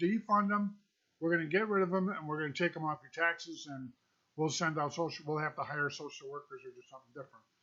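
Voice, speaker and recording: A man speaks with an American accent. His tone is animated. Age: 60s. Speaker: vlogger, trucker. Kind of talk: opinion rant. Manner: animated, emphatic.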